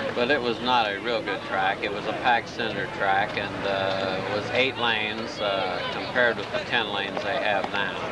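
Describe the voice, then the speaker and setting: A man's monotone, flat voice at a fairly low pitch and moderate pace, hardly any pauses, with audible room echo and noticeable background noise. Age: 60s. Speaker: former college athlete. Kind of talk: interview. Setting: outdoors. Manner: halting.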